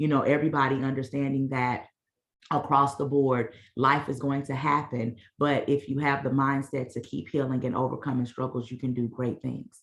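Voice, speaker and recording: Her pitch is very deep and low for a woman. The woman's intonation is monotone and flat. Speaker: mental wellness organization founder. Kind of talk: presentation at online meeting. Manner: fast.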